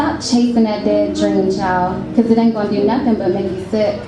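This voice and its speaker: A woman of medium pitch talks at a moderate pace, with noticeable background noise behind her. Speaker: spoken word poet. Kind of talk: spoken word performance. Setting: live reading at a cafe event.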